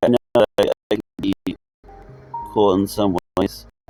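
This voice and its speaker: A quiet, fairly low male voice, dry and close with no echo, with music in the background. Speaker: gaming video creator. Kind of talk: gameplay commentary. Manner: quiet, subdued; halting, with repetitions.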